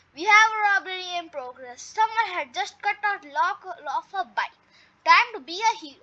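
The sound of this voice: This is an unforced reading voice. The text is read aloud.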